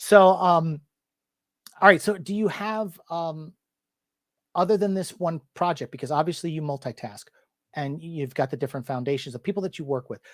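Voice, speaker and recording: A man with a high-pitched voice, moderate pace, ordinary pitch variation, big swings in loudness, and long, frequent pauses, in a very clean recording with a silent background and a dry, close sound with no echo. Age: 40s. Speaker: interview show host. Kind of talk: casual interview chat. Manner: halting with many fillers and repeats.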